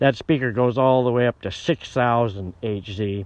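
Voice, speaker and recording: In a plain, everyday voice, a man speaks at medium pitch and a fairly slow pace with fairly even intonation. The sound is dry with no echo. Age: 60s. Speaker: musician. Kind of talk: casual chat. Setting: outdoors. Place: open country. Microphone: phone near.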